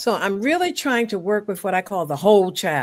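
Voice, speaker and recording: A woman with an American accent talks at a moderate pace, her fairly high voice making very wide pitch swings. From Baltimore, Maryland. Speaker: retired teacher, tutor. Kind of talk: casual interview chat. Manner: halting.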